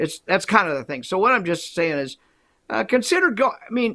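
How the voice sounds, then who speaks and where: A man's bright, sharp tone with very wide pitch swings, at a moderate pace. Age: 70s. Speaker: psychologist. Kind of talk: casual chat.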